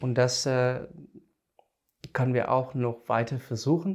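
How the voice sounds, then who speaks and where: This man speaks with a non-native accent at a medium pitch. His pace is fairly slow. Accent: foreign accent in German. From South Africa. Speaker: biogas engineer. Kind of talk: casual interview. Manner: halting.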